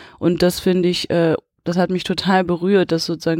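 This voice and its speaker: In a dry, close sound with no echo, a woman at a fairly low pitch speaks at a moderate pace with monotone, flat intonation. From Potsdam, eastern Germany. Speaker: film director. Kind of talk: interview. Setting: cinema.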